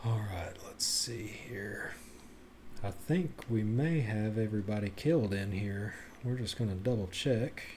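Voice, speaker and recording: Audible room echo carries a man's somewhat breathy voice, dark and mellow in tone. He speaks at a fairly slow pace. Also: fairly low pitch for a man, ordinary pitch variation. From Tennessee. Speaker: video game streamer. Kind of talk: live gameplay commentary.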